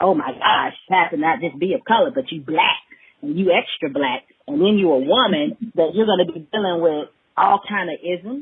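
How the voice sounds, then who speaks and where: A woman with an American accent speaks at a moderate pace with a medium pitch. Her voice makes very wide pitch swings. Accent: Alabama dialect, comes out at times. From Alabama, US South. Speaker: hemp farmer and business owner. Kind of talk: casual podcast interview. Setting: studio. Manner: animated.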